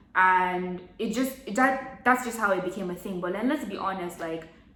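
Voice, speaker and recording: With an American accent, a woman speaks at a medium pitch with ordinary pitch variation, amid noticeable background noise and audible room echo. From Nigeria (Abuja). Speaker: vlogger. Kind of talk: casual chat. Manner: casual, filler-heavy.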